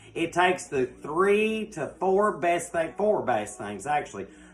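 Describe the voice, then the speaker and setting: Someone with a Southern US accent talks at a fairly slow pace. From US South. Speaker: cooking show host. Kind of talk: live cooking show. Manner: loud.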